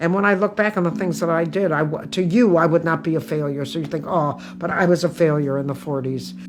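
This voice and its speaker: A woman with an American accent talks at a very fast pace with vocal fry. Her pitch varies in an ordinary way. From US Midwest, Toledo, Ohio. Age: 80s+. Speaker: comedian. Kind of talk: interview with stand-up excerpts.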